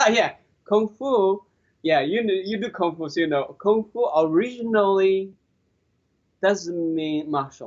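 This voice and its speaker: A man's high-pitched voice in a Chinese accent, fairly slow with long, frequent pauses, ordinary pitch variation and big swings in loudness. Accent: Chinese (Mandarin). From China. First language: Mandarin Chinese. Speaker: qigong master. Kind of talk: interview. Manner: halting, repetitive.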